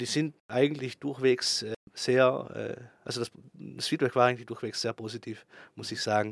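A man of medium pitch talks with fairly even intonation and vocal fry, his loudness swinging widely. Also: fairly slow pace. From South Tyrol, Italy (Bozen). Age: 30s. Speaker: ski resort operations manager. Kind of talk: interview. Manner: hesitant, with filler sounds.

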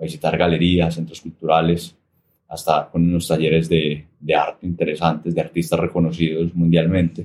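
A man speaks at a moderate pace with a very deep, low pitch. His intonation is monotone and flat. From Colombia, Armenia, Quindío. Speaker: painter and coffee shop owner. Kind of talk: interview. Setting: small coffee shop. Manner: clear and expressive.

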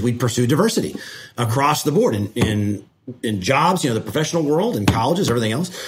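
Man with an American accent, medium pitch, a somewhat breathy voice, lively intonation, and a very fast pace. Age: 40s. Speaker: state energy regulator. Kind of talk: casual mentoring conversation.

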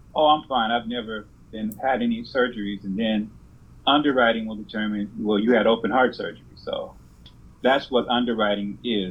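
With an American accent and a plain, everyday voice, a man moves at a fairly quick pace, his medium pitch following a fairly even intonation. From California. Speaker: insurance agent. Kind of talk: interview.

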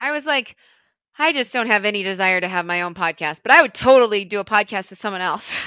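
A woman with an American accent talks at a very fast pace and medium pitch, with lively intonation, big swings in loudness and a bright, sharp tone. The recording is very clean and dry, close with no echo, and the background is silent. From US Midwest, St. Louis, Missouri. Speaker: financial advisor and podcast co-host. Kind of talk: casual chat.

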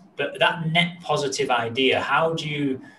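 A man's voice over noticeable background noise. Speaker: podcast host. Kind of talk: podcast interview.

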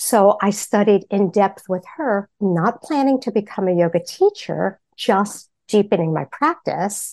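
With an American accent, a woman of medium pitch talks at a fairly slow pace with lively intonation and hardly any pauses. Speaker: therapist and meditation teacher. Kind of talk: interview with guided meditation. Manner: calm, slow, soothing.

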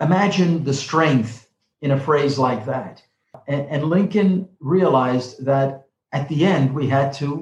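A man talks in a New York accent with ordinary pitch variation. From New York City (the Bronx). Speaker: professor and author, former diplomat. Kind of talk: interview.

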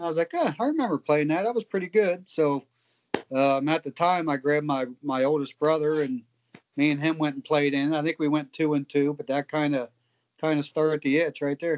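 A plain, everyday voice at a fairly quick pace, with fairly even intonation. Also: man, fairly high pitch for a man. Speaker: professional cornhole player. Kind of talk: interview.

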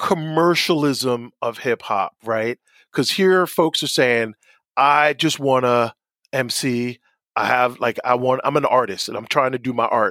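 An animated voice with an American accent and lively intonation moves at a fairly slow pace. The sound is dry and close with no echo, on a very clean recording with a silent background. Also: man. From New Jersey shore (Asbury Park). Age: 50s. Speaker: university lecturer in communication. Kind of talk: interview podcast.

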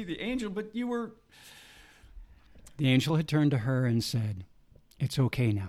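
A man speaks at a fairly high pitch. His pitch swings very widely. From Saskatchewan, Canada. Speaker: testimony speaker. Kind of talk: testimony, storytelling.

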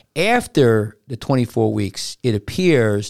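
In a normal speaking voice, a man talks at a fairly slow pace and medium pitch on a very clean recording with a silent background. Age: 60s. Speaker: surgeon and podcast host. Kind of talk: casual chat. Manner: rambling, frequently interrupts.

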